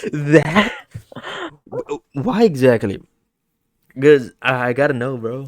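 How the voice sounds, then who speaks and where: A man talks at a very slow pace in a fairly high pitch, with long, frequent pauses and big swings in loudness. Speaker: video game podcast host. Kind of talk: casual chat. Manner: halting, stutters and repeats words.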